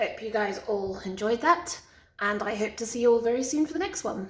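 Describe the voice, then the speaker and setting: A woman's put-on character voice at a fairly high pitch, raspy, croaky and hoarse, with lively intonation and a fairly quick pace. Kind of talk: casual video sign-off.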